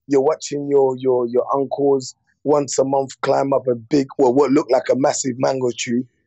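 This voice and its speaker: A man with a London accent and a fairly high pitch. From West London, England (born DR Congo, moved at eight). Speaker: comedian. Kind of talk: casual interview. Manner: animated, many fillers and repetitions.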